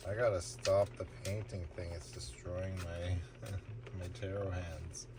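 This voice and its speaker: There is audible room echo around a man with a very deep, low pitch. He speaks at a fairly slow pace with vocal fry. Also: lively intonation. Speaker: tarot reader. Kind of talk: casual tarot reading stream.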